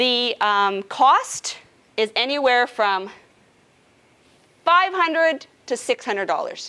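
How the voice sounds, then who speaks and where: A woman talks with lively intonation. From Canadian prairies, Regina, Saskatchewan. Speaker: nurse navigator. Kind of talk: educational presentation to a support group. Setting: support group meeting with live audience. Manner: casual, conversational.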